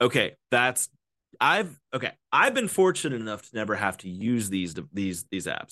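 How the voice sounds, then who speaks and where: Against a quiet background, a man sounds animated with a bright, sharp tone and lively intonation at a moderate pace. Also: medium pitch for a man. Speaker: podcast host. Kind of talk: casual comedic chat. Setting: video call. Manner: animated, joking, profane.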